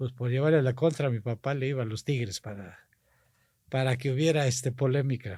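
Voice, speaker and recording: In a very clean recording with a silent background, a man talks at a fairly quick pace with a medium pitch, a dark, mellow tone, ordinary pitch variation and a somewhat breathy quality. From Mexico, Tampico, Tamaulipas. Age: 60s. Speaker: politician. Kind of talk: casual interview chat.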